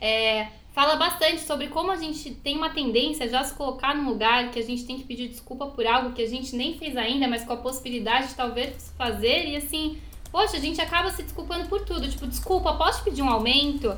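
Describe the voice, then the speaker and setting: There's audible room echo and noticeable background noise as a woman speaks in a high voice. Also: ordinary pitch variation, fairly quick pace. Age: 20s. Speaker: podcast co-host. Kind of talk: casual chat. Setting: recording at home.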